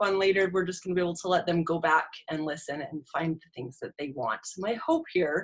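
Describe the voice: Her tone fairly bright, a woman speaks at a fairly quick pace.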